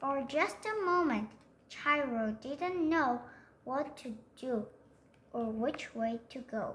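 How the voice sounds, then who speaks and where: The woman's voice is high in pitch and her pace is fairly slow. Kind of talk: bedtime story. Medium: read story. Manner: soft, gentle, unhurried.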